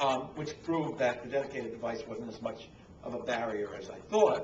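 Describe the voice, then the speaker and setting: A man with a fairly high pitch talks at a fairly quick pace with lively intonation. The room echo is audible and background noise is noticeable. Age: 60s. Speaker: publishing consultant. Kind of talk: lecture. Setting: stage with audience. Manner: halting.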